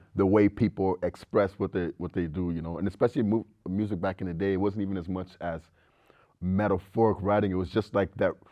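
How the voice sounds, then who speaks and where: A man with an American accent and a very deep, low voice, talking at a very fast pace. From mixed, lived in US Louisiana and South Africa. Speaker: rapper. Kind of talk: casual interview. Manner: casual, lots of fillers and swearing.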